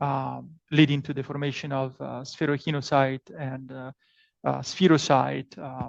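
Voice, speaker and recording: A man with an Italian accent speaks at a medium pitch and a moderate pace. The sound is dry and close with no echo, over a quiet background. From Italy. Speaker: professor. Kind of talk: lecture. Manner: hesitant, many fillers and repetitions.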